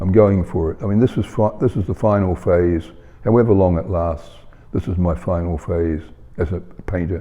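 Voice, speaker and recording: Here a man speaks with a New Zealand accent and a very deep, low pitch. His pace is moderate and his pitch varies in an ordinary way. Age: 80s+. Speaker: painter. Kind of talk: interview. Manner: halting, many fillers.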